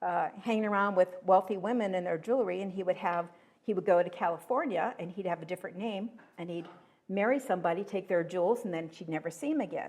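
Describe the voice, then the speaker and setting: This woman has an American accent and a medium pitch. She talks at a very fast pace. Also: ordinary pitch variation. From Pennsylvania. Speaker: local history researcher. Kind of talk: talk to a history group.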